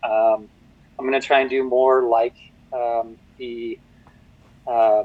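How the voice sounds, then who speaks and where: A man at medium pitch is heard with a dry, close sound and no echo. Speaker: board game designer. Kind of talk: interview. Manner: fast; hesitant, many fillers.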